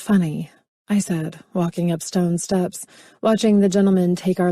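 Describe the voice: The voice reads aloud plainly with fairly even intonation. The background is quiet.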